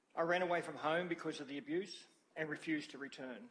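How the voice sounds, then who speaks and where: With an Australian accent, a man speaks at a very fast pace with ordinary pitch variation. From Australia (Albury, NSW / Wodonga area). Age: 60s. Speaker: witness at a public inquiry. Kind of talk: reading a prepared statement aloud. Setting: hearing room. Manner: formal.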